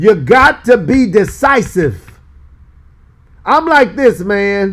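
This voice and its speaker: A man speaks in an animated tone with lively intonation. His pitch is high. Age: 60s. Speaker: pastor. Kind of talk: bible study teaching. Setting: live stream.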